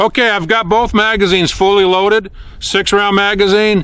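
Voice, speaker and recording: A man speaks in a raised, projected voice with a high pitch. Noticeable background noise and audible room echo are present. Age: 60s. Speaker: gun hobbyist youtuber. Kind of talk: casual tutorial. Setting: outdoors.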